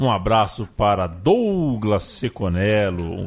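A man's pitch swings very widely as noticeable background noise carries on around him. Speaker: podcast host. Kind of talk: casual chat.

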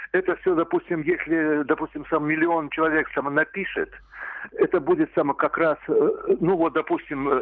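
The delivery is fairly slow, and the pitch varies in an ordinary way. Overall, it is an unremarkable speaking voice. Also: man. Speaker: caller. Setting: phone call.

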